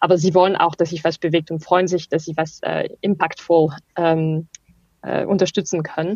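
A woman talks at a moderate pace. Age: 30s. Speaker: startup managing director. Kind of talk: interview. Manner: halting.

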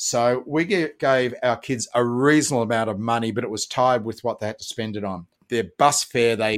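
In a very clean recording with a silent background, a man with an Australian accent speaks at a medium pitch and a fairly quick pace. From Australia, Melbourne. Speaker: parenting educator. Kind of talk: interview.

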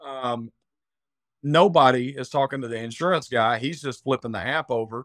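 A man with an Arkansas accent speaks at a moderate pace and medium pitch, with ordinary pitch variation. The sound is dry and close with no echo, over a quiet background. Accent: Southern US (Arkansas). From Arkansas, US South. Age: 40s. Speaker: cyber insurance specialist. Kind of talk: casual interview chat. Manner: many filler words (um, uh).

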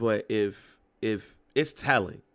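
On a very clean recording with no background sound at all, a man speaks in a fairly low pitch. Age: 40s. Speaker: podcast co-host. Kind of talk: casual chat. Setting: home studio. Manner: animated.

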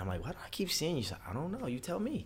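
A man's voice in an American accent, set in audible room echo. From Baltimore, Maryland, US. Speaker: motivational speaker. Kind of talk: interview. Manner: animated.

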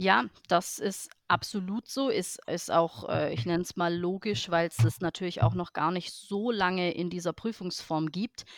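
A woman's plain, everyday voice, fairly low in pitch, at a fairly slow pace with lively intonation and hardly any pauses, in a very clean recording with a silent background and a dry, close sound with no echo. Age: 30s. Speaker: Icelandic horse professional and show judge. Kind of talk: interview.

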